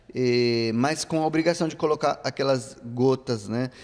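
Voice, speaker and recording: In an Italian accent, a man speaks fairly slowly at a medium pitch. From Italy. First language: Italian (speaking Portuguese). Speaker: radio presenter of Brazilian music. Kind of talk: interview. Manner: halting, with fillers.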